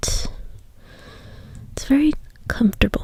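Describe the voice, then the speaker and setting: A soft-spoken woman is whispering. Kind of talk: ASMR soft-spoken show-and-tell. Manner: soft-spoken, whispery.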